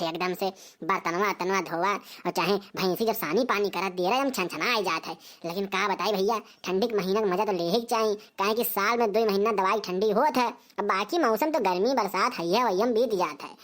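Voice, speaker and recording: In a cartoonish character voice, a woman speaks fairly quickly at medium pitch with ordinary pitch variation. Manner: rambling, talkative.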